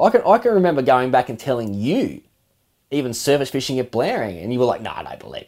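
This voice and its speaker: A man with an Australian accent talks very fast, his medium pitch carrying lively intonation. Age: 30s. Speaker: fishing podcast co-host, angler. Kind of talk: casual interview chat.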